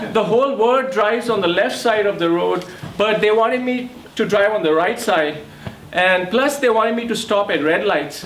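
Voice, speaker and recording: With audible room echo and noticeable background noise, a man with an Indian accent speaks at a high pitch and moderate pace, his loudness very even and his pitch variation ordinary. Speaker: comedian. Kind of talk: stand-up.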